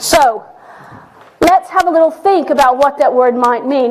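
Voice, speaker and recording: A woman's high voice at a fairly quick pace, with ordinary pitch variation and noticeable background noise. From Texas. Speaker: professor. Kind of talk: public lecture. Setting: lecture hall with audience and livestream.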